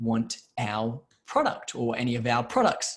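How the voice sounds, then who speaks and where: A man speaks in a somewhat breathy voice. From Australia, Brisbane. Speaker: business process management company founder. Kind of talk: webinar presentation. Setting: video call. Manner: halting, with many fillers and repetitions.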